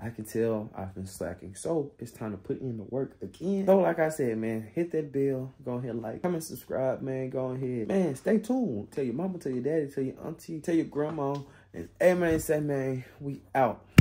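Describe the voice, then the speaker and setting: A man speaks at a moderate pace in a dark, mellow tone. There are hardly any pauses. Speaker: vlogger. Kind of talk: casual vlog chat. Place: home room. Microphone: phone near.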